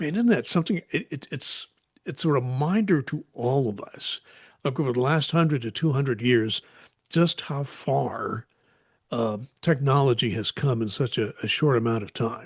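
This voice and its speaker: Somewhat breathy and medium in pitch, a man speaks at a moderate pace with lively intonation, his sound dry and close with no echo against a quiet background. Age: 70s. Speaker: podcast co-host. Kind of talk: casual chat.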